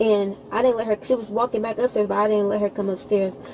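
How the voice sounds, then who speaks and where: Fairly high in pitch and fairly even in intonation, a woman speaks over noticeable background noise. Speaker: witness, sister of the shooting victim. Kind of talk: police witness interview. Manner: fast.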